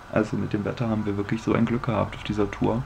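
There is light background noise. The intonation is monotone and flat. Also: man. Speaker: hiking vlogger. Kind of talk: casual vlog chat. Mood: relaxed, cheerful. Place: home room. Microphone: phone near.

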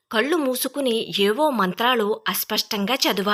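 A passage delivered as reading aloud in a natural voice

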